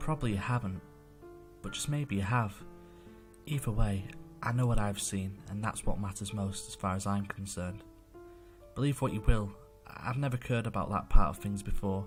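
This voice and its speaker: A man speaks at a fairly low pitch while music plays in the background. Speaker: amateur horror story narrator. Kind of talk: horror story narration.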